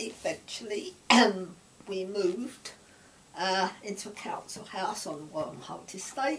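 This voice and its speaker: The speaker talks at a very slow pace in an East London accent with lively intonation. Noticeable background noise runs throughout. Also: woman. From East London, Stepney. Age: 80s. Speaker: grandparent sharing memories. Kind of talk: oral history interview.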